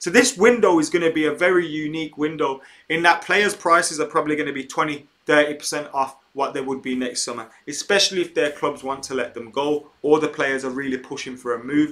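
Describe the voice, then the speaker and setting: A man with an English accent, fairly high in pitch and bright, sharp in tone, at a fairly quick pace with hardly any pauses and ordinary pitch variation. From England. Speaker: football YouTuber. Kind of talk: live stream chat. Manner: casual, with filler words.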